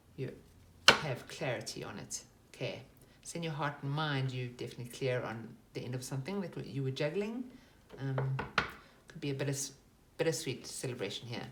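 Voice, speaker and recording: With audible room echo and noticeable background noise, a woman speaks in a very deep, low voice with ordinary pitch variation. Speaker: tarot reader. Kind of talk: tarot reading.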